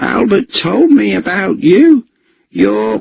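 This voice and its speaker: A man speaks in a put-on character voice, high-pitched and very slow, with a dry, close sound and no echo. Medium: read story. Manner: stammering under threat.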